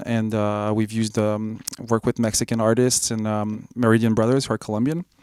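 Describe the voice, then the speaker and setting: A man with a French accent and monotone, flat intonation, on a very clean recording with a silent background. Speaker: electronic musician. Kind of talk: interview. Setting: music festival.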